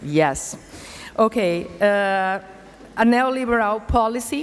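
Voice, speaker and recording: The speaker is a woman. She has a Brazilian Portuguese accent. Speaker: vocational education institute director. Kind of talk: conference presentation. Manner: halting, many hesitations.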